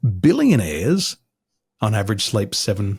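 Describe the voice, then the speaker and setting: A man speaks with a fairly low pitch and a somewhat breathy quality. His pitch swings very widely. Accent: American. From Australia. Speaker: business coach. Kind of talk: podcast interview. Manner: measured, easy to listen to.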